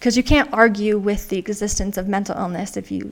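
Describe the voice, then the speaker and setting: A woman's unremarkable speaking voice at a fairly high pitch, with ordinary pitch variation. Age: 20s. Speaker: writer and mental health advocate. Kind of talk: casual interview.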